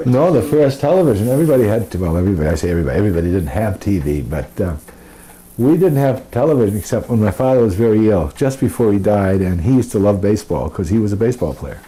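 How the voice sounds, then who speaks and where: Over noticeable background noise, a man with a fairly low pitch talks at a very fast pace with very wide pitch swings. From Lewiston, Maine. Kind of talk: interview answer.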